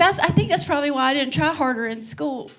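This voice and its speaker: Noticeable background noise and audible room echo fill the recording. A woman speaks in an animated tone. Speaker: stand-up comedian. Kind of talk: stand-up. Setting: stage with audience.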